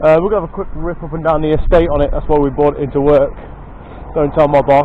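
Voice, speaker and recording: Over noticeable background noise, a man in an English accent speaks with fairly even intonation. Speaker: motorcycle video channel host. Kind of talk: casual vlog commentary. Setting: outdoors at workplace estate. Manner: loud, shouting; hesitant, many fillers. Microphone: poor microphone sound.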